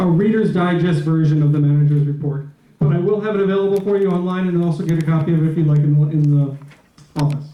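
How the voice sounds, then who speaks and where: Very fast and with fairly even intonation, a man with an American accent is heard through audible room echo and noticeable background noise. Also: fairly high pitch for a man. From New York. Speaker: property manager. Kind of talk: meeting report. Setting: board meeting with audience.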